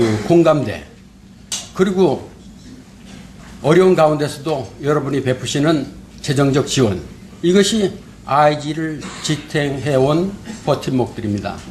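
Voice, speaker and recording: A man with a Korean accent talks at a moderate pace with a fairly high pitch. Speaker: forum host, institute head. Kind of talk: welcoming address. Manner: halting, frequent fillers.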